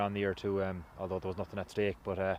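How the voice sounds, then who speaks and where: With a western Irish accent, a man talks at a very fast pace and a fairly low pitch. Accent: Irish (west of Ireland). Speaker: Gaelic football player. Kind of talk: interview.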